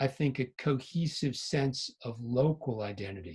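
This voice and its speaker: Over a quiet background, a somewhat breathy voice with an American accent speaks at a very slow pace with lively intonation. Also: man. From Connecticut, New England. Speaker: English professor. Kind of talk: panel conversation.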